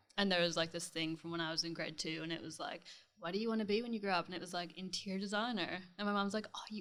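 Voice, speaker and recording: In a slight Canadian accent, a woman with a fairly low pitch and a bright, sharp tone talks with fairly even intonation. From Canada, near Toronto, Ontario. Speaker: interior designer. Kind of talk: casual interview chat.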